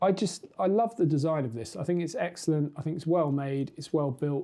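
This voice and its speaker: A man talks at a fairly quick pace in a dark, mellow tone with ordinary pitch variation. The background is quiet. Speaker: tech reviewer, youtuber. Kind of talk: product review. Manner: casual, many fillers.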